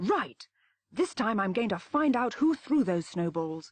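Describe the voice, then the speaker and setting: Using a put-on character voice, a woman speaks fairly slowly in a fairly high pitch. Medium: read story. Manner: polite, well-spoken.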